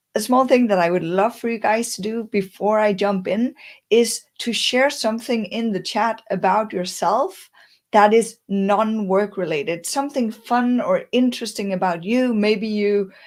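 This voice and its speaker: In a plain, everyday voice, the woman talks fairly high, with pitch that varies in an ordinary way. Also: moderate pace. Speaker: career coach and speaker. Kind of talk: webinar presentation.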